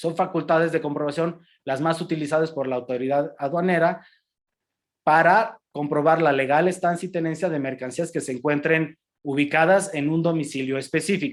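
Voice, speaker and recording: A man speaks at a moderate pace with a fairly high pitch and fairly even intonation. The recording is very clean, with a silent background. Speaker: customs lawyer lecturer. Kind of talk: lecture. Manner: halting, many repetitions and fillers.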